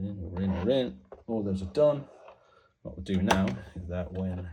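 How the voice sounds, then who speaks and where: A man with a very deep, low voice speaks with a somewhat breathy, dark and mellow tone and ordinary pitch variation. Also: moderate pace. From Ireland. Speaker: toy repair hobbyist. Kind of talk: tutorial. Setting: home desk. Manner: halting.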